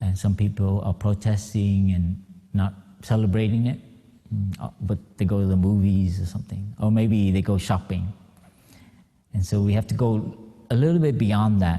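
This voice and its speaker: With an American accent, a man speaks at a moderate pace and fairly low pitch, his dark, mellow tone somewhat breathy. His intonation is fairly even, and he leaves long, frequent pauses. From Vietnamese-born, raised in the US. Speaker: Buddhist monk. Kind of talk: dharma talk. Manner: halting, many fillers.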